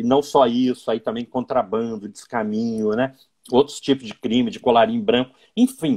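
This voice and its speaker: The speaker has a Minas Gerais accent and a fairly even intonation. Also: man, medium pitch for a man, moderate pace. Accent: Minas Gerais accent, still noticeable. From Minas Gerais, Brazil (Belo Horizonte). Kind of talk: interview in a live stream. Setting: Instagram live video call.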